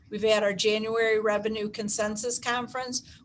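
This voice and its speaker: Her voice sits fairly high for a woman, and her intonation stays monotone and flat. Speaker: school district finance officer. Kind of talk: budget presentation at board meeting. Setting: school board meeting. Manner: halting, many fillers.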